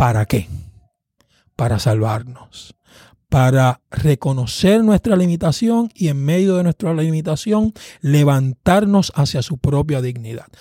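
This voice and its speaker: Somewhat breathy and dark, mellow in tone, a man's fairly high voice takes very wide pitch swings at a fairly slow pace, with a dry, close sound and no echo. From Puerto Rico, Caguas. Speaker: pastor and seminary professor. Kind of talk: interview on preaching. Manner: halting, repeats words.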